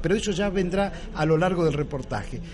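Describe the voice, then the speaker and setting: With noticeable background noise and audible room echo, a man speaks at a moderate pace in a high pitch. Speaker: radio host. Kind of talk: radio interview.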